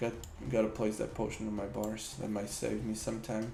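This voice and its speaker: With a non-native accent, a man speaks at a fairly low pitch and a moderate pace. There is audible room echo. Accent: noticeable non-native English. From Slovakia. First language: Slovak. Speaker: gaming streamer. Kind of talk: live gameplay stream chat. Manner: casual, animated.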